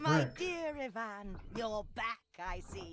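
A put-on character voice speaks very slowly at a fairly high pitch. Its pitch swings very widely. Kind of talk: rhyming fairy-tale speech. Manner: sly, motherly.

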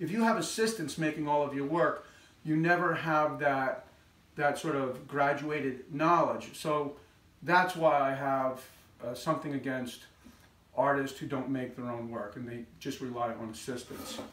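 A man at a moderate pace, with audible room echo. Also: ordinary pitch variation. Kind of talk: casual vlog chat. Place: workshop.

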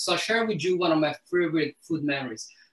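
Audible room echo surrounds a man talking at a fairly quick pace. His pitch is high and his intonation lively. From Italy, Lazio near Rome. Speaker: chef and food educator; guest. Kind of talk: cooking demonstration and conversation. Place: kitchen.

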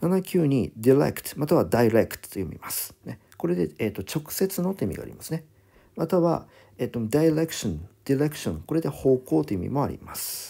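With a dark, mellow tone and a fairly high pitch, a man talks at a fairly quick pace with very wide pitch swings and big swings in loudness, recorded very cleanly over a silent background. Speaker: English vocabulary teacher. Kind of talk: lecture. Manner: fast, run-on explanation.

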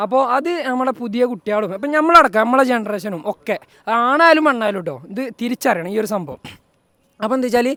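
A man speaks in a raised, projected voice with a bright, sharp tone at an extremely high pitch. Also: lively intonation. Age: 20s. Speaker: vlogger. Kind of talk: casual vlog talk. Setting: at a wedding event.

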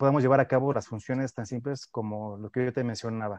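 In a dry room with no echo and a quiet background, a man talks at a fairly quick pace with a medium pitch and ordinary pitch variation. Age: young. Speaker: neuroscience researcher; guest. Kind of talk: radio interview. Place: home room. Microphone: earbuds.

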